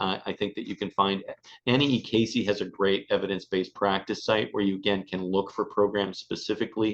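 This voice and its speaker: Over a quiet background, a man with a fairly low pitch talks at a fairly quick pace with fairly even intonation. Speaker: prevention specialist presenter. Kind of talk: webinar presentation. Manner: fast; hesitant with fillers and repetitions.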